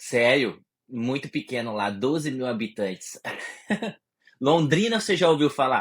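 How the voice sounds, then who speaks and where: A man speaks at a medium pitch with lively intonation. His pace is fairly slow, broken by long, frequent pauses. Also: very clean recording, silent background. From interior of Paraná, Brazil. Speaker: writer and immigrant. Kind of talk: casual chat.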